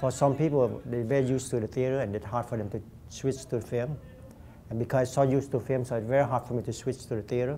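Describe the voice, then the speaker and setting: Here a man talks at a very fast pace. His tone is dark and mellow. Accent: Vietnamese. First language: Vietnamese. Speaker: actor. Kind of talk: interview.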